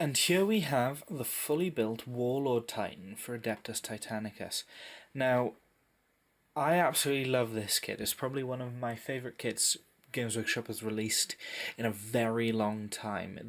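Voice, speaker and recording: At a moderate pace, a man with a Welsh accent talks in a medium pitch with ordinary pitch variation. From Wales. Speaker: tabletop miniatures hobbyist. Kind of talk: casual unboxing review to camera.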